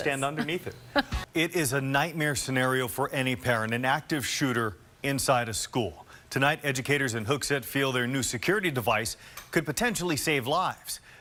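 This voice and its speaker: Ordinary pitch variation and a fairly quick pace shape an ordinary speaking voice. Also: man, fairly high pitch for a man. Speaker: TV news reporter and anchor. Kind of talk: news anchor read in studio.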